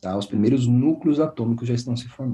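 There is a somewhat breathy, dark, mellow tone to this man's medium-pitched voice. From Brazil, São Paulo state (São Paulo city and Guaratinguetá). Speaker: physics professor. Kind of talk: interview, explaining science.

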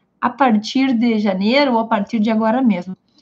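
Fairly high-pitched and somewhat breathy, a woman's voice with fairly even intonation. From Brazil, Rio Grande do Sul (Santa Maria). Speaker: law content creator. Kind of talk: livestream talk. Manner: casual, conversational.

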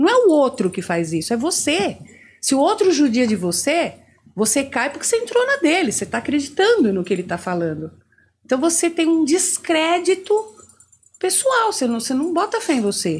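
A woman talks at a moderate pace in a high voice. Her pitch swings very widely. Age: 60s. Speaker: therapist. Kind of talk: interview.

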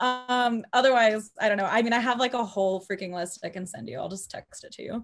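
A woman with a normal speaking voice and an American accent talks at a fairly quick pace with hardly any pauses, fairly high in pitch, with ordinary pitch variation and big swings in loudness. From Texas, Houston area. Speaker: singer. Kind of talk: casual chat.

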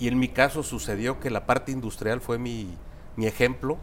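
With vocal fry, a man at medium pitch talks at a moderate pace. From central Mexico (Guanajuato, Querétaro). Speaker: construction company CEO. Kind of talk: interview.

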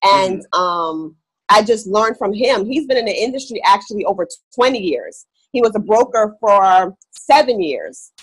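A woman has an unremarkable speaking voice with fairly high pitch. Her pitch variation is ordinary. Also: moderate pace. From West Indies, raised in New York City. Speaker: real estate investor. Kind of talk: interview. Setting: video call.

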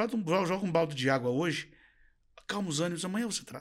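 A man's high voice, bright and sharp in tone, on a very clean recording with a silent background. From Brazil, interior of Paraná. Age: 50s. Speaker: dental franchise founder and CEO. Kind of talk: interview.

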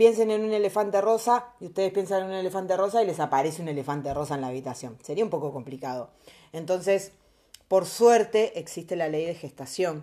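Her dark, mellow tone carries lively intonation as the woman talks at a fairly quick pace. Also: medium pitch for a woman. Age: 30s. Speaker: podcaster. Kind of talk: casual monologue.

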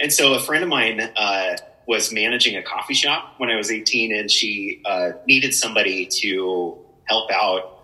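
A man with an American accent, medium pitch and ordinary pitch variation, against noticeable background noise. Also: moderate pace. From Spokane area, Washington, US Pacific Northwest. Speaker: coffee company director. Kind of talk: casual chat. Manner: animated.

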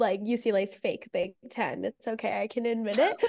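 A woman talks at a moderate pace. Her pitch is fairly high. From Los Angeles, Venice Beach. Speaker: podcast host, college student. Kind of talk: casual chat.

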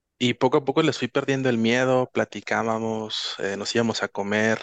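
An ordinary speaking voice at a moderate pace, with fairly even intonation and a dry, close sound with no echo over a quiet background. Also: man. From Guadalajara, Mexico. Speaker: interview guest. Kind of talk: personal testimony.

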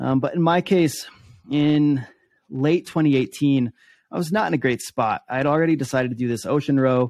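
Against a quiet background with a dry, close sound and no echo, a man has an ordinary speaking voice, fairly high in pitch with ordinary variation, at a moderate pace. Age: 30s. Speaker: endurance athlete and keynote speaker. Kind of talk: interview conversation.

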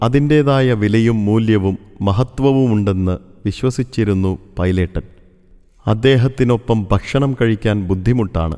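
Ordinary pitch variation from a man, his voice medium in pitch and dark, mellow in tone. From Kerala, Thrissur. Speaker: retired store manager recalling former employer. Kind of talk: scripted narration of a memoir.

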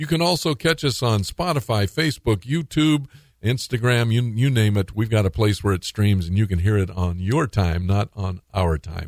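A man with an American accent speaks at a moderate pace in a plain, everyday voice, his medium pitch carried by lively intonation on a very clean recording with a silent background. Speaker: radio talk show host. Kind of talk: radio talk show interview; and at 25:13, upbeat radio DJ patter with promos. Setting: radio studio. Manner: warm, friendly, faith-minded, uses fillers like uh and um.

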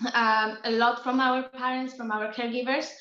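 In a Polish accent, the speaker delivers a bright, sharp tone with monotone, flat intonation. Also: woman. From Poland. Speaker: psychotherapist. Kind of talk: casual interview.

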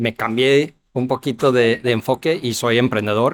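A man speaks with an English accent and fairly even intonation. The sound is dry and close, with no echo. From US Midwest (Ohio). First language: English (speaking Spanish). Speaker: startup founder and CEO. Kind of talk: interview. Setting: business expo. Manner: halting, many fillers and repetitions.

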